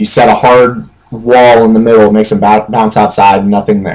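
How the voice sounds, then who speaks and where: Speaking in a plain, everyday voice, a man keeps a moderate pace and a fairly low pitch. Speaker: video game tutorial creator. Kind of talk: tutorial.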